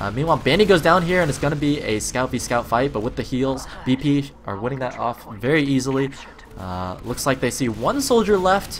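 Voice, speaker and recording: A man speaks at a fairly quick pace with lively intonation. His pitch is medium, and there's noticeable background noise. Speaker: esports shoutcaster. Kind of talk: live commentary. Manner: fast.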